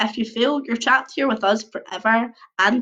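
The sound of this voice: An unforced reading voice carries the text.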